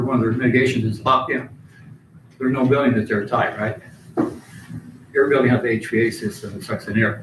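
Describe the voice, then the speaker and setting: A man's very fast speech with long, frequent pauses, audible room echo and noticeable background noise. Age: 60s. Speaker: concerned citizen speaking at public comment. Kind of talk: public comment.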